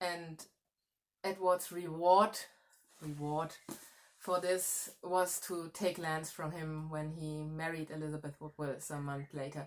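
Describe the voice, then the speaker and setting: With a German accent, a woman speaks in a very deep, low, monotone voice at a fairly slow pace, leaving long, frequent pauses. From Germany. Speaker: historian. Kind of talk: history talk. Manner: halting, self-correcting.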